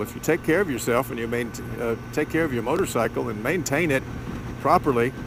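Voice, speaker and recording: Over noticeable background noise, a man talks at a fairly quick pace. His pitch variation is ordinary. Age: 70s. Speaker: motovlogger. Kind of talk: vlog monologue. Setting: riding a motorcycle.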